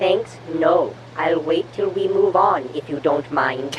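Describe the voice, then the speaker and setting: A female-sounding put-on character voice speaks at a fairly slow pace over clear background noise. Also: fairly low pitch for a woman. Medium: audio drama. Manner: dry, cautious.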